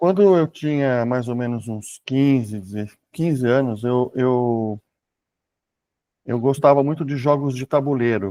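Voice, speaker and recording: Over a quiet background, a man with a dark, mellow tone speaks at a fairly slow pace and medium pitch, with ordinary pitch variation. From Brazil. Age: 60s. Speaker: author and programmer. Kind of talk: interview conversation.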